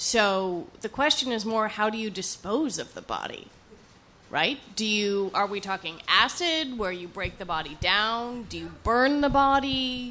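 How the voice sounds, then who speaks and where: Amid noticeable background noise and audible room echo, a woman speaks fairly slowly at a fairly high pitch, her intonation lively and her loudness swinging widely. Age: 30s. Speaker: public radio journalist. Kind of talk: on-stage interview. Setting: stage with audience at a bookstore. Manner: practiced, radio-style delivery.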